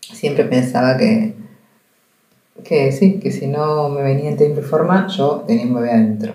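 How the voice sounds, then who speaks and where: A woman with a very deep, low pitch speaks at a fairly slow pace, her pitch swinging very widely, with audible room echo. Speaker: journalist and podcast host. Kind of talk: personal monologue. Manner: conversational.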